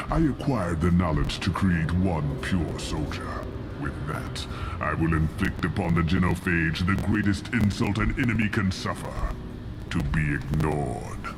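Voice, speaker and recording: A man's put-on character voice, very deep and low, at a moderate pace over loud background noise. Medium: machinima. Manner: slow, grave, commanding.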